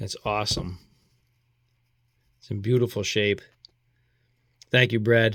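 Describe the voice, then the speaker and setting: A man with a Boston accent speaks at medium pitch and a moderate pace in a flat monotone. He leaves long, frequent pauses, and his loudness swings widely. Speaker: coin collector YouTuber. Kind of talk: casual video commentary, mail call. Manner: scattered, informal.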